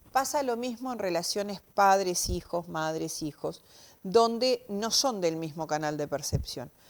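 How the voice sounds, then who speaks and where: This woman speaks at a fairly slow pace, her pitch medium and her intonation lively. She has an unremarkable speaking voice. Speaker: semiology expert. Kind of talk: TV interview explanation.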